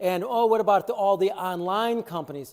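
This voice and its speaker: A man with a Chicago accent, high-pitched, with ordinary pitch variation. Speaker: water treatment dealer. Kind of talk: product review video. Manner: casual, filler-heavy.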